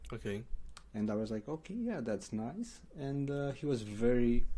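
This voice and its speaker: The voice has a dark, mellow tone and a Romanian accent. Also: man. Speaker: paid ads manager. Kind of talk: interview.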